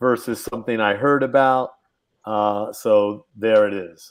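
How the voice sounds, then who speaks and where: A man speaks with an American accent at medium pitch. His intonation is fairly even, and he has a plain, everyday voice. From San Francisco, US West Coast. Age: 60s. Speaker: hip hop pioneer. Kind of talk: interview. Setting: livestream.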